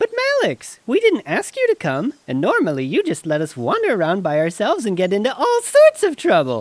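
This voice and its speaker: In a put-on character voice, the fairly high pitch and cheerful tone move at a fairly quick pace. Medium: audio drama. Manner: cheerful, naive.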